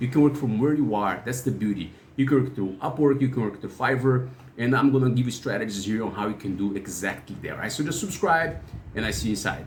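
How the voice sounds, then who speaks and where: Somewhat breathy and medium in pitch, a man talks at a very fast pace with ordinary pitch variation amid audible room echo. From Brazil. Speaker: freelancer and YouTuber. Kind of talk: channel intro talk. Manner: halting, with fillers.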